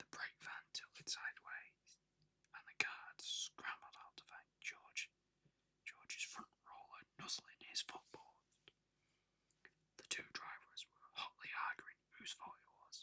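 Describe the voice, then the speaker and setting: A man whispers at a very slow pace, with a dry, close sound and no echo. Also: big swings in loudness. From UK. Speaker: ASMR artist. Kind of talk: ASMR whispered story reading. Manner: whispered, soft-spoken.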